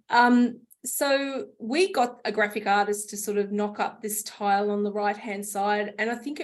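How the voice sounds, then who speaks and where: A woman with an Australian accent, medium pitch and a moderate pace. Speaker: homelessness charity CEO. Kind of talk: conference presentation.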